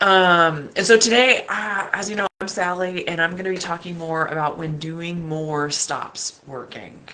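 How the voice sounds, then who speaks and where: A woman's fairly slow speech with ordinary pitch variation against noticeable background noise. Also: fairly low pitch for a woman, hardly any pauses. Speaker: life coach. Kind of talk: motivational talk.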